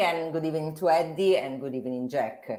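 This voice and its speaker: A woman with an Italian accent talks at a very fast pace. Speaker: financial journalist. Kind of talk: interview discussion. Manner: halting.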